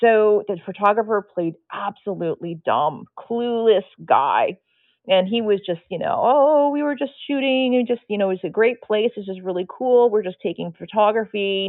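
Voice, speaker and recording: With an unremarkable speaking voice, a woman keeps a moderate pace at a medium pitch, her pitch variation ordinary. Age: 50s. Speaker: nude model. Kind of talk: casual chat.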